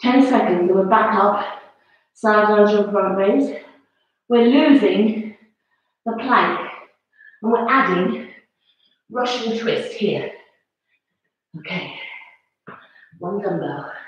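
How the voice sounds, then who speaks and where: Somewhat breathy and fairly high-pitched, a woman speaks at a very slow pace with long, frequent pauses in a room with strong echo. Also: ordinary pitch variation. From England. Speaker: fitness instructor. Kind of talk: live-streamed exercise class. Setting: home, live video. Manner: animated, encouraging; brisk, coaching cues. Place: home room. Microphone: camera far.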